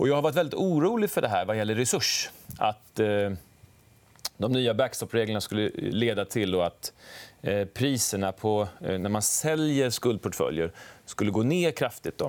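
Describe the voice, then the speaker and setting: An ordinary speaking voice from a man, with lively intonation at a moderate pace. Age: 40s. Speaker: fund manager. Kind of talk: stock market analysis discussion.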